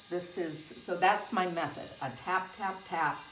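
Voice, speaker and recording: Someone speaks at a very slow pace amid noticeable background noise and audible room echo. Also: woman. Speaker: foot care nurse. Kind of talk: tutorial. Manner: deliberately slowed down.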